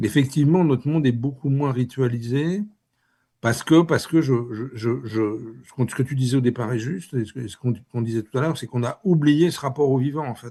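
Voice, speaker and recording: Against a quiet background, a man with a dark, mellow, somewhat breathy tone talks at a fairly quick pace, with ordinary pitch variation and big swings in loudness. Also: medium pitch for a man. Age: 60s. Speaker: author. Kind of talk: interview. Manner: halting, many repetitions.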